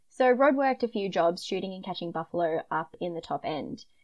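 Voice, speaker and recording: In a broad Queensland accent, a woman speaks at a very fast pace. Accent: Australian, broad Queensland. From Queensland, Australia. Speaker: podcast host, true crime storyteller. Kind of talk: casual chat with narrated case retelling.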